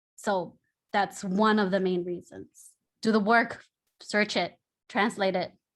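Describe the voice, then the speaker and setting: Delivery is monotone and flat at a fairly slow pace. Long pauses come often. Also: woman, medium pitch for a woman. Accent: Spanish. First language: Spanish. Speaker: artist. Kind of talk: panel discussion.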